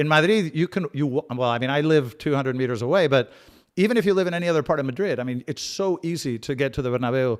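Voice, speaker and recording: A man's fairly high voice with ordinary pitch variation at a very fast pace, on a very clean recording with a silent background. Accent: American. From Spain and US, half life each. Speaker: football channel host. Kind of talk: live watch-along chat reading comments. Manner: casual, many fillers and repeats.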